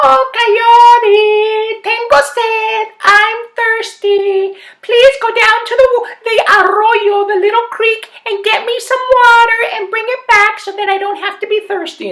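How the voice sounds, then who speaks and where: A man uses a put-on character voice that is squeaky and extremely high. He speaks at a fairly slow pace. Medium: read story. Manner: sassy, sharp, mixes Spanish phrases.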